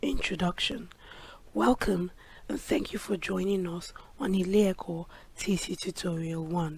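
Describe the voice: A woman puts on a hoarse, raspy character voice at a medium pitch. She keeps a moderate pace but leaves long, frequent pauses.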